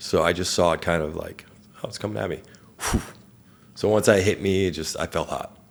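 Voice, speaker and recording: Mumbling at a fairly quick pace, a man with a very deep, low pitch uses ordinary pitch variation and leaves long, frequent pauses. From Persian family background. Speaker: entrepreneur, burn survivor. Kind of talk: interview, personal story. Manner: occasional mumbling, words hard to get out.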